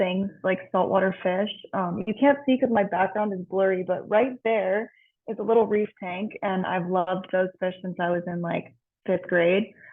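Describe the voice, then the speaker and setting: At a fairly slow pace, a woman with an American accent and an unremarkable speaking voice talks in a medium pitch with fairly even intonation. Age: 20s. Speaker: chemical engineer. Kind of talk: panel introduction. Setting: video call.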